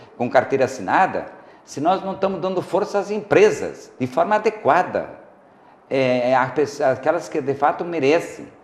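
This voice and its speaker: A man's fairly high pitch and lively intonation amid noticeable background noise. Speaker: guest expert on talk show. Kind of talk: TV talk show discussion. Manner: uneven loudness, sometimes too loud, sometimes very quiet; hesitant, many fillers.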